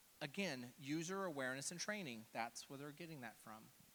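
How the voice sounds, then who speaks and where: With a Texan accent, a man talks in a fairly high, bright, sharp voice, his intonation lively and his tone animated. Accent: Texan American. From Texas (Houston). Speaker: cybersecurity speaker. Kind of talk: conference talk. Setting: stage with audience. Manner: casual, animated.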